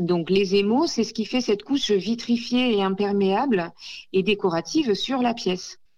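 Over a quiet background, a woman speaks at a fairly slow pace in a dark, mellow tone. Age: 40s. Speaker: ceramicist. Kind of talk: radio interview. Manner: hesitant, many fillers.

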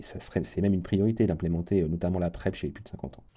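This man's voice sits very deep and low, with vocal fry and a dark, mellow tone. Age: 40s. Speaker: HIV prevention program manager. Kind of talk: radio interview.

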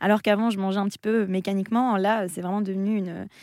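On a very clean recording with a silent background, a woman talks at a very fast pace in a dark, mellow tone of medium pitch, her intonation monotone and flat. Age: 20s. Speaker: content creator and author. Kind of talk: radio interview. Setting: radio studio.

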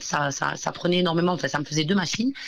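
A woman speaks at a very fast clip with a fairly low pitch. Her intonation is lively. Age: 30s. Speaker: entrepreneur, company founder. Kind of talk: interview.

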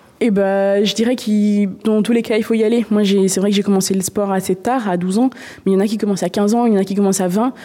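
At a very fast pace, a woman talks in a monotone with flat intonation, medium pitch and very even loudness. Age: 20s. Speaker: paralympic canoeist. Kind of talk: interview.

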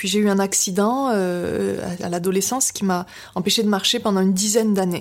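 A woman using a normal speaking voice talks at a medium tempo, her mid-range pitch held in fairly level intonation. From Biarritz, French Basque coast. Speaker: novelist. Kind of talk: interview. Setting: at the guest's home in Paris.

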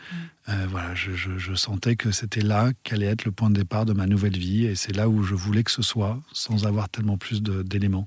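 A man speaks at a moderate pace in a fairly low, somewhat breathy voice. His intonation is monotone and flat. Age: young. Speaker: interview guest sharing life story. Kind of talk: personal testimony interview. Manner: halting, many hesitations.

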